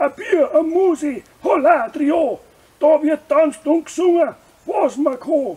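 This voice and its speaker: A man puts on a cartoonish character voice, pitched extremely high. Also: fairly slow pace. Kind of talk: comedic puppet skit advertising a brewery festival. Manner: rhyming, jolly.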